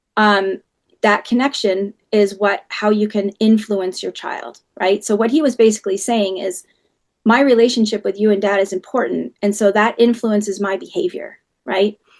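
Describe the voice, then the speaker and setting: A woman talks at a moderate pace and medium pitch with fairly even intonation, in an unremarkable speaking voice. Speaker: parenting educator. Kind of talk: webinar talk.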